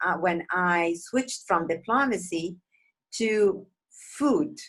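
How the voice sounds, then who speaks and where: A woman's medium-pitched voice with lively intonation and a non-native accent. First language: not English. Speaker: interview host, food blogger. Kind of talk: interview.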